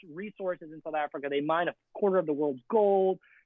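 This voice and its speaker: Speaking at a fairly quick pace, a man has a high pitch. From Canada. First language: Afrikaans. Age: 20s. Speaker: photographer. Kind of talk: casual chat. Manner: animated.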